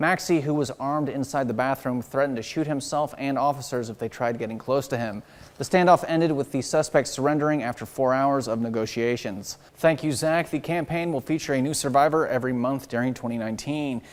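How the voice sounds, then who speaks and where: In a plain, everyday voice, a man talks at a fairly quick pace with hardly any pauses, fairly high pitch and ordinary pitch variation. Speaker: TV news reporter and anchor. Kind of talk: local TV news reporting and anchoring.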